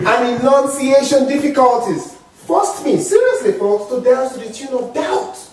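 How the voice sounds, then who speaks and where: A man with a strong African accent speaks at a moderate pace in an extremely high pitch, his animated tone sweeping through very wide pitch swings, with noticeable background noise and audible room echo. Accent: heavy African. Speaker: motivational speaker. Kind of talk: speech.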